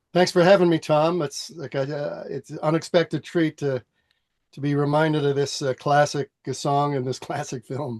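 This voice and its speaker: A man with a Canadian accent speaks at a moderate pace in an unremarkable speaking voice. His intonation stays fairly even, and the sound is dry and close with no echo. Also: fairly high pitch for a man. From Western Canada (Edmonton). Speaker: singer. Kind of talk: interview.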